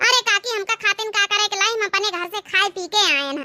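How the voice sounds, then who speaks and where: A woman's squeaky, cartoonish character voice at an extremely high pitch and a very fast pace, in a dry, close sound with no echo. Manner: chatty, teasing.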